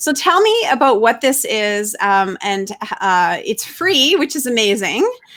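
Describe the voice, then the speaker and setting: A woman's high voice moves at a fairly slow pace through very wide pitch swings. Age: 40s. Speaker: interview host. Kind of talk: interview.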